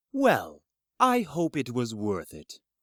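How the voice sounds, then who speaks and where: A put-on character voice at a low-to-middle pitch. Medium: audio drama. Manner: formal, slightly smirking.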